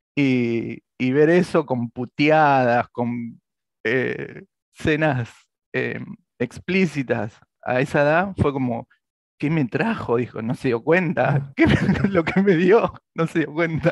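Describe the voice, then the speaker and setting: Speaking with an Argentine accent, a man with a fairly high pitch talks at a very slow pace with ordinary pitch variation, the sound dry with no echo against a quiet background. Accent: Rioplatense Argentine Spanish. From Argentina, Santa Fe (near Rosario), then Buenos Aires; Santa Fe, Argentina. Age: 40s. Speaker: comic artist and illustrator; comic artist. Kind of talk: interview. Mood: relaxed, storytelling. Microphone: video call.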